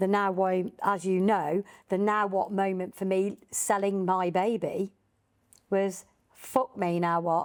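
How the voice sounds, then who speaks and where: A woman speaks at a very slow pace with a Birmingham accent, her medium pitch carried in a monotone, flat intonation. Her loudness stays very even on a very clean recording with a silent background. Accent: Birmingham area. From English Midlands, Birmingham area. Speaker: podcast host. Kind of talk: podcast interview.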